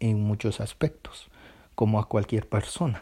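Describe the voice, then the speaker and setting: A man with a medium pitch speaks at a fairly slow pace, his voice somewhat breathy. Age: 20s. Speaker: student. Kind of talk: personal reflection monologue. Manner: hesitant, with filler sounds.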